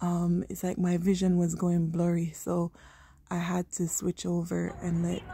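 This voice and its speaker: Very slow speech from a woman with a fairly low pitch, over light background noise. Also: dry sound with no echo. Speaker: vlogger visiting light display. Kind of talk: casual vlog chat. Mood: amazed, admiring. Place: garden. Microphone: phone near.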